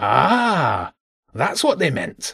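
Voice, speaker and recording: A man's high-pitched, put-on character voice. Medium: read story. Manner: blunt, gruff.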